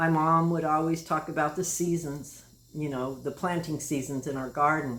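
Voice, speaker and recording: In a room with audible echo, a woman speaks with a very deep, low pitch. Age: 60s. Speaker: end-of-life guide. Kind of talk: personal testimony monologue. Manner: halting, many fillers.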